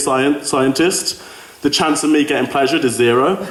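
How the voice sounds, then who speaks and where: A man talks at a fairly quick pace and fairly high pitch in a Birmingham accent. Noticeable background noise and audible room echo are present. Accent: Brummie. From Birmingham, England. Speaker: student comedian. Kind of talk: stand-up. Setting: stage with audience.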